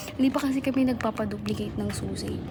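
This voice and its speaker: There is audible room echo and noticeable background noise around a woman as she talks. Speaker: vlogger, college student. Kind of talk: casual vlog. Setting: dorm stairs. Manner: soft-spoken.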